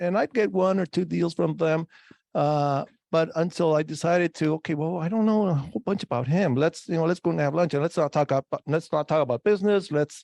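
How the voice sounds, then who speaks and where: A man with a fairly high pitch and a dark, mellow tone talks at a fairly quick pace with ordinary pitch variation. The sound is dry and close with no echo over a quiet background. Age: 60s. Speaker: real estate agent. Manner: halting, with many fillers and repeats.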